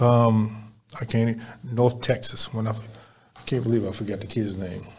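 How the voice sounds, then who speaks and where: This man has a normal speaking voice with a medium pitch. He keeps a moderate pace. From Baltimore, Maryland (East Baltimore). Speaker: youth basketball program director. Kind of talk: casual interview chat. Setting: studio.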